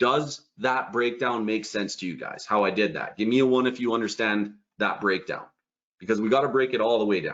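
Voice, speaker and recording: A man talks at a fairly quick pace in an animated tone. His pitch sits in the medium range. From Canada. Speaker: online business coach. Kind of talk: live webinar tutorial. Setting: livestream. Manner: fast.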